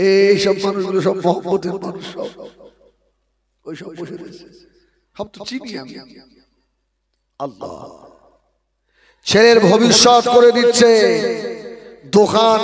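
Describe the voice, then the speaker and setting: His voice is high for a man, with ordinary pitch variation and big swings in loudness. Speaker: Islamic preacher. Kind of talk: sermon. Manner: emotional, declamatory.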